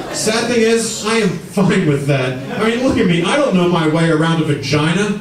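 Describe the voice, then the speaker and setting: A man's voice carries audible room echo. Noticeable background noise runs behind it. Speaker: stand-up comedian. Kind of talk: stand-up comedy routine. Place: stage.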